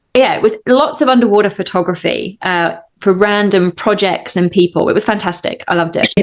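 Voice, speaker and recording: A woman with a slight Australian accent at a fairly quick pace. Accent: English with a slight Australian twang. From England. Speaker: hypnotist. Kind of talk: interview.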